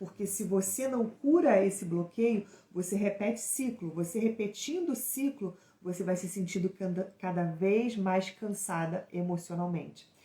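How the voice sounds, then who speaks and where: This woman has a medium-pitched, somewhat breathy voice with a dark, mellow tone. She talks at a fairly slow pace with ordinary pitch variation. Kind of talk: live stream teaching. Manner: stumbling, hesitant in places.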